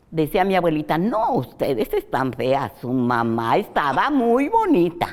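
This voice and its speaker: A woman with a fairly low pitch makes very wide pitch swings and hardly any pauses. Noticeable background noise runs underneath. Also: fairly slow pace. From Mexico, Jalisco (Atotonilco el Alto). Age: 80s+. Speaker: interview guest recounting her life. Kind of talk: interview, life-story reminiscence. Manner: halting, with fillers and repetitions.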